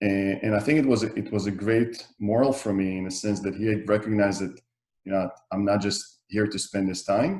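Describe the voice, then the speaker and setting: The speaker has an Israeli accent and a fairly quick pace. Intonation stays fairly even. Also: man, fairly low pitch for a man. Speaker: real estate developer. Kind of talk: interview. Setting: video call.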